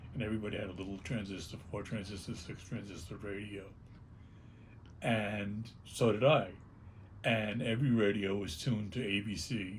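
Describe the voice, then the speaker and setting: Somewhat breathy and in a New York accent, a man talks at a moderate pace with long, frequent pauses, and audible room echo is present. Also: fairly low pitch for a man. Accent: New York (Bronx). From New York City, the Bronx. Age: 70s. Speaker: punk rock singer. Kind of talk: oral history interview. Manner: halting, repeats words.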